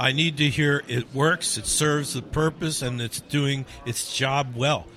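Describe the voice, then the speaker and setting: Over noticeable background noise, a man with an American accent and a fairly high pitch talks at a fairly slow pace. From New Jersey, Asbury Park. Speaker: radio host. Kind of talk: casual chat.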